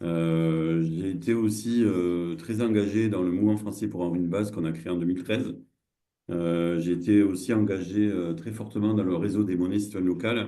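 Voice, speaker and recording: A man with a very deep, low voice and a dark, mellow tone talks at a moderate pace with ordinary pitch variation, and the room echo is audible. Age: 60s. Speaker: social entrepreneur and cooperative founder. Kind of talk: online masterclass presentation. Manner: halting, many hesitations and repetitions.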